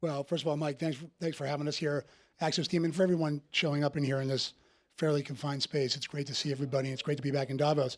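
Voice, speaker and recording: Over a very clean recording with a silent background, a man with a New Jersey accent talks at a very fast pace with fairly even intonation. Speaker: investment firm CEO. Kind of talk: panel interview.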